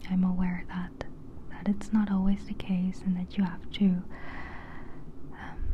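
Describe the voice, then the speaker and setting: Soft-spoken and relaxed in tone, the speech goes at a fairly slow pace with long, frequent pauses over noticeable background noise. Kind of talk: ASMR ramble, casual talk to camera. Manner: soft-spoken, relaxed.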